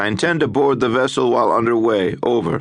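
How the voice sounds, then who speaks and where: A man uses a put-on character voice with a medium pitch. He talks at a fairly quick pace against a quiet background. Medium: read story. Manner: clipped, commanding.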